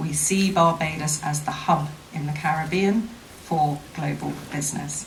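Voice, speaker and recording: A woman with a British accent speaks in a very deep, low voice, with audible echo from the room. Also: moderate pace. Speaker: investment promotion official. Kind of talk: formal speech at a seminar. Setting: seminar with audience. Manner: formal.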